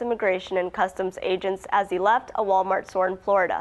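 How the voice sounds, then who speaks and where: A woman with an American accent and an ordinary speaking voice talks at a fairly quick pace and medium pitch against a quiet background. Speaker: journalist. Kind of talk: TV news anchor read.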